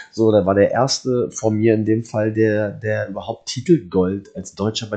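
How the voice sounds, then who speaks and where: A man's fairly low, dark and mellow voice at a moderate pace, with ordinary pitch variation, over a quiet background. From Germany. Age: 30s. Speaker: professional wrestler. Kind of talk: casual interview.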